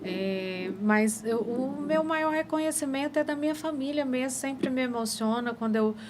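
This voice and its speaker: Amid noticeable background noise, a woman speaks fairly slowly with ordinary pitch variation. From Goiás, Brazil. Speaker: pharmacist and businesswoman. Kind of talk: podcast interview. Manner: halting.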